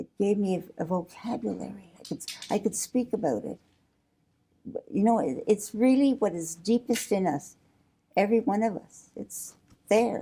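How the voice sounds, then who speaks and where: A woman's medium-pitched voice with vocal fry, a dark, mellow tone, lively intonation, moderate pace and long, frequent pauses. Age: 80s+. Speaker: interviewee, lay church worker. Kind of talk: interview. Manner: halting.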